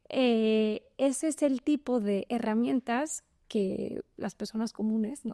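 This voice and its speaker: A woman speaks very slowly with a Spanish accent, at a fairly high pitch with a dark, mellow tone. The recording is very clean and dry, close with no echo and a silent background. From Spain. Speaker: venture capital lawyer. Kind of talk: podcast interview.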